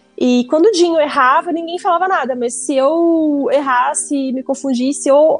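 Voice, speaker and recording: Music plays in the background as a woman speaks. Her pace is moderate and her pitch variation is ordinary. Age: 30s. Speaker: geek content creator and entrepreneur. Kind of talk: casual interview chat.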